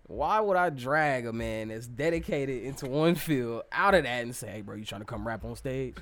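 A man with an unremarkable speaking voice and medium pitch talks at a moderate pace with lively intonation, big swings in loudness and hardly any pauses. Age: 20s. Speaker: rapper. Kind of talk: casual chat.

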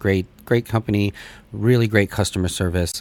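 In a normal speaking voice, the speaker talks at a moderate pace with fairly even intonation. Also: man. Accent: General American. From United States. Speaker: podcast host and cannabis cultivation writer. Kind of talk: casual chat.

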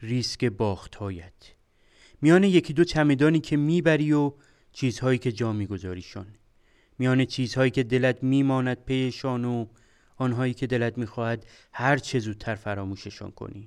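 A normal speaking voice from a man at a medium pitch, moderate pace and ordinary pitch variation, over a quiet background. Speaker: podcast host, computer engineer. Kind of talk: storytelling narration.

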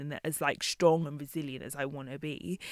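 The speaker keeps a moderate pace. The recording is very clean, with a silent background. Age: 30s. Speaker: magazine founder. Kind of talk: interview.

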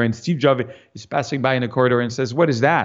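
A man with a French accent, medium pitch and a fairly quick pace against a quiet background. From France. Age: 50s. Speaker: fine art landscape photographer. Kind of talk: interview conversation. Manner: halting.

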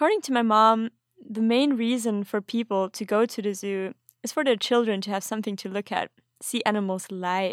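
A woman with a German accent in a very clean recording, silent background, and a dry, close sound with no echo. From Austria. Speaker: podcast host. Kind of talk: scripted narration.

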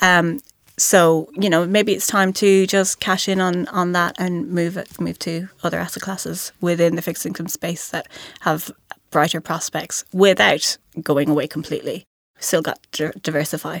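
In a western Irish accent, a woman speaks at a moderate pace with a fairly low pitch and fairly even intonation, the sound dry and close with no echo. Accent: Irish, west of Ireland. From Ireland, County Mayo. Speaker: investment analyst. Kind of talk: casual professional discussion. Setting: studio.

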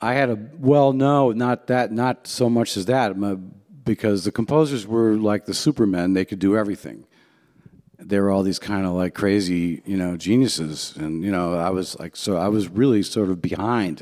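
A man's fairly low, dark, mellow voice at a moderate pace. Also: ordinary pitch variation. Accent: American. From US Midwest, Cleveland, Ohio. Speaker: jazz pianist and composer. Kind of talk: talk to a luncheon audience. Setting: jazz club with live audience.

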